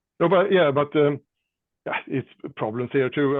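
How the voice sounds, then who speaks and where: This man speaks at a moderate pace and medium pitch with a Swedish accent. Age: 60s. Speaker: rock drummer. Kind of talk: casual chat. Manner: halting.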